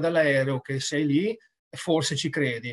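Against a quiet background, the speech unfolds at a very slow pace. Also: man. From Treviso, Italy; Italy. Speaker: rugby sports director, former player; guest. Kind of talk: casual interview. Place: home room. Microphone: video call.

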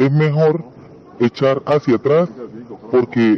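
A man's very slow speech plays out against noticeable background noise. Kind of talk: casual explanation.

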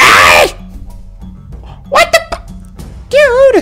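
A man speaks in a put-on character voice, pitched extremely high. Clear music plays in the background. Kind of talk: comic overacting. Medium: game stream.

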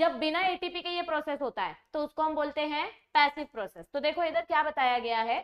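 A woman speaks at a moderate pace with hardly any pauses, her pitch high and its variation ordinary. The background is quiet. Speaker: biology teacher. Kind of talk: lecture. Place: studio.

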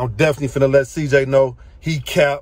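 The man's voice is somewhat breathy, with a dry sound and no echo. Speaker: car enthusiast vlogger. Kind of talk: casual vlog chat. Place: car. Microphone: phone near.

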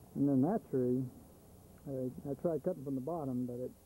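A man speaks at a moderate pace with a dark, mellow tone and fairly even intonation. The sound is dry with no echo, with light background noise. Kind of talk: casual home video narration. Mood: matter-of-fact, slightly weary. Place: garden. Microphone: old recording.

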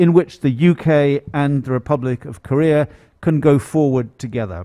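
A British accent with a dark, mellow tone at a moderate pace, against a quiet background. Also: man. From Britain. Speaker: diplomat. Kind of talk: formal congratulatory speech. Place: hall. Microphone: podium.

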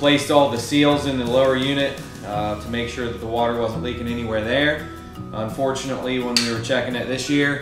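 A man at a fairly quick pace with fairly even intonation, audible room echo and clear music in the background. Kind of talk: tutorial. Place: garage. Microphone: camera far.

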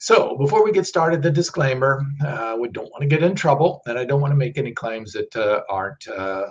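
A man speaks in a somewhat breathy voice, his pitch swinging very widely. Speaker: presenter. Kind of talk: live stream talk on nutrition research. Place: office.

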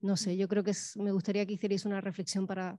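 A woman speaks in a monotone, flat way with a dark, mellow tone, recorded dry with no echo against a quiet background. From Spain. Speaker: moderator. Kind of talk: Q&A moderation. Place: stage. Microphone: handheld.

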